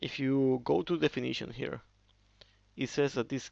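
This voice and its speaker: A man speaks with a non-native accent. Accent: non-native English speaker. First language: Spanish. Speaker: software developer. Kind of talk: tutorial. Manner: halting, with frequent fillers.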